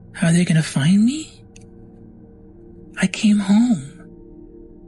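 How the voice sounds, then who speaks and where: Clear music plays in the background as someone uses a put-on character voice in a middle pitch at a very slow pace. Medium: actual play.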